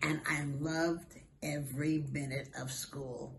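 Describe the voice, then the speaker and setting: A woman's very deep, low voice with an American accent and fairly even intonation, with audible room echo. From Brooklyn, New York. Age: 80s+. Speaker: school alumna. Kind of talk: interview.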